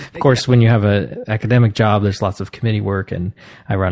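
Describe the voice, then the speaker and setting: A man's plain, everyday voice in an American accent, fairly low-pitched with ordinary pitch variation and a dry, close sound with no echo. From US Northeast (New Jersey). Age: 40s. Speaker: composer and music professor. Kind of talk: casual interview conversation. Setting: video call.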